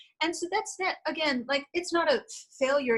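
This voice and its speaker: In an American accent, a woman speaks with a bright, sharp tone and lively intonation. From Connecticut and New York City. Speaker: congressional candidate. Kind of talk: interview.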